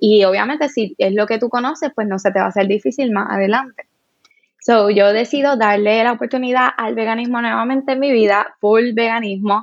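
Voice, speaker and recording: A woman's unremarkable speaking voice, fairly high in pitch, at a fairly quick pace with ordinary pitch variation. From Puerto Rico, Cabo Rojo. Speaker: vegan and sustainable fashion content creator. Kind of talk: interview.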